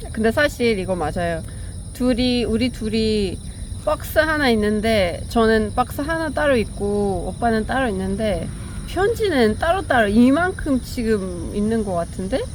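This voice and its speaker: Speech comes in a Persian accent at a fairly slow pace. Noticeable background noise and audible room echo are present. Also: woman. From Iran. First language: Persian (speaking Korean). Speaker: vlogger. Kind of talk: casual chat. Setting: outdoors.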